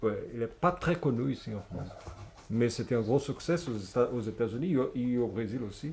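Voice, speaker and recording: At a moderate pace, a man with a Portuguese accent talks at medium pitch with ordinary pitch variation. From Brazil, Niterói. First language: Portuguese (speaking French). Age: 50s. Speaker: comic book author. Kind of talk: public interview at a bookshop. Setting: bookshop event with audience. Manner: halting, searching for words.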